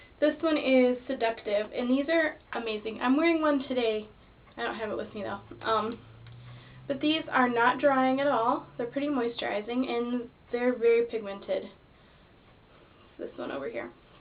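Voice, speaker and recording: High-pitched and showing ordinary pitch variation, a woman speaks with long, frequent pauses. Noticeable background noise runs under her voice. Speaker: beauty vlogger. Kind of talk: product review. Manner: fast.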